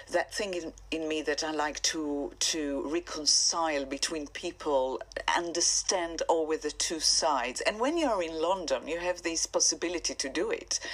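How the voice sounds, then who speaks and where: Speaking with an Israeli accent, a woman talks at a moderate pace with hardly any pauses. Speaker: singer-songwriter. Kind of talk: radio interview.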